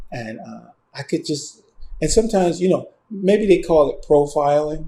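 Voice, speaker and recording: A man speaks at a moderate pace in a dark, mellow tone, his loudness swinging widely and his intonation lively. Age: 60s. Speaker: screenwriter. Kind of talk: interview. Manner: halting.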